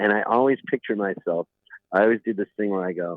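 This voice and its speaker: A man with an ordinary speaking voice, fairly low in pitch, at a fairly quick pace. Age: 60s. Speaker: singer-songwriter. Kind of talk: casual chat.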